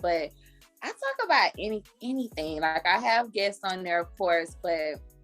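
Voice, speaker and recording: A woman's voice with music in the background. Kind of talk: podcast host conversation. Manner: casual, chatty.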